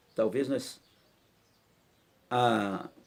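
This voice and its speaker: A man speaks with vocal fry. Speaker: pastor. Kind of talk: bible study teaching in church.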